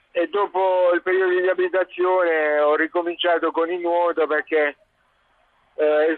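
A man with a high-pitched voice talks at a fairly slow pace in a monotone, flat intonation. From Apulia, southern Italy (Terlizzi, Bari). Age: 40s. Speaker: Paralympic handbike champion. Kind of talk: radio interview.

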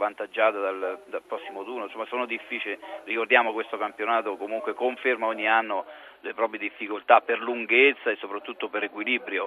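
A man talks at a medium pitch with fairly even intonation as noticeable background noise continues. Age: 50s. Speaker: former footballer and football pundit. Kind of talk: phone-in football commentary chat.

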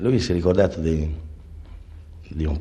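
Speaking at a fairly quick pace with a somewhat breathy, dark, mellow tone, a man with an Emilian accent keeps his intonation fairly even amid audible room echo. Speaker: jazz clarinettist. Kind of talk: interview. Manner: halting.

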